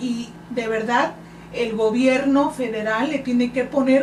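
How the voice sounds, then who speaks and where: Against noticeable background noise and audible room echo, a woman with a high pitch talks fairly slowly, her pitch varying in an ordinary way. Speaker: political candidate. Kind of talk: radio interview.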